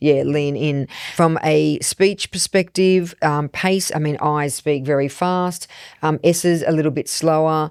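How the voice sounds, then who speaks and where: A woman's very deep, low voice with fairly even intonation, dry and close with no echo, on a very clean recording with a silent background. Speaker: business podcast co-host. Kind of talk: casual podcast discussion. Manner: fast, no pausing.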